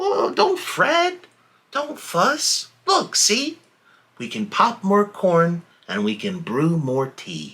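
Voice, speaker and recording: Squeaky and fairly high in pitch, this put-on character voice moves at a very slow pace. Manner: reassuring.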